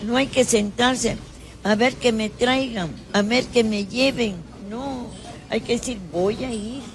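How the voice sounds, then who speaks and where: Very slow delivery with long, frequent pauses, ordinary pitch variation, and noticeable background noise. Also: woman, fairly high pitch for a woman. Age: 90s. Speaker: retired teacher. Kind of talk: casual interview. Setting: café.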